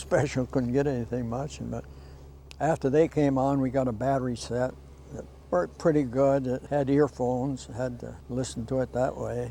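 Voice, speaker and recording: A man with a New England accent and fairly even intonation. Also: medium pitch for a man, moderate pace. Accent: rural New England. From Vermont. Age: 80s+. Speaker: longtime local resident. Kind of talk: interview reminiscence.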